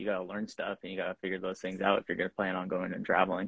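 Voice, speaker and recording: A man's fairly low voice with an American accent. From Washington State, US. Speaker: drift racing driver. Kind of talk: casual interview. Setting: video call from his shop.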